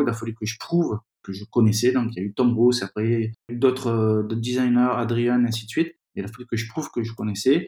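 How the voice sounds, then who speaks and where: At a fairly quick pace, a man talks in a dark, mellow tone at a medium pitch with fairly even intonation, the sound dry and close with no echo. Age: 40s. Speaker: magazine founder and editor. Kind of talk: interview. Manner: halting.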